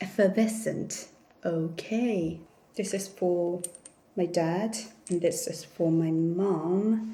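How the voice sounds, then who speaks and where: A woman with a Korean accent at medium pitch, very slow, with long, frequent pauses, fairly even intonation and audible room echo. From South Korea. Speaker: vlogger. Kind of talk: casual haul vlog. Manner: hesitant with fillers.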